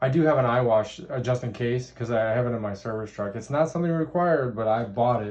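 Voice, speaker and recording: A man at a medium pitch, talking at a very fast pace with hardly any pauses. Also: ordinary pitch variation. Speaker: truck mechanic. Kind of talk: casual interview questions.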